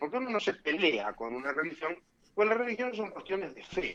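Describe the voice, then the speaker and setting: Male speech moving at a fairly quick pace. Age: 60s. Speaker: lawyer and former judicial council member. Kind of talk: radio interview. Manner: animated.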